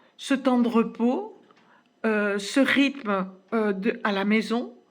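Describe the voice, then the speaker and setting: A woman's fairly high voice at a very slow pace with fairly even intonation. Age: 70s. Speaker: fitness program participant. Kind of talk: testimony. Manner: halting, many hesitations.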